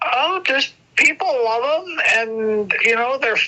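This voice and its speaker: A woman speaks at a fairly slow pace, fairly high in pitch, with very wide pitch swings. Noticeable background noise is present. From North Dakota. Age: 70s. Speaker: crafter. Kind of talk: interview.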